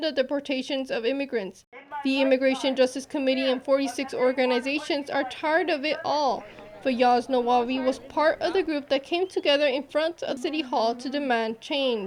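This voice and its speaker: A woman's high-pitched voice with ordinary pitch variation at a moderate pace, over noticeable background noise. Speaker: multimedia journalist, news reporter. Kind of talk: broadcast news reporter narration.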